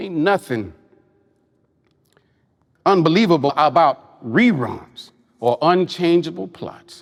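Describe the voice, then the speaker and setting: A man speaks at a high pitch with lively intonation. His pace is very slow, with long, frequent pauses. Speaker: poet. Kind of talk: spoken word poetry performance.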